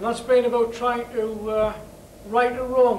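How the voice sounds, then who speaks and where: With a northeast English accent, a man speaks at a fairly slow pace amid audible room echo and noticeable background noise. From northeast England. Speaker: campaign chair, former miner. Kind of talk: rally speech.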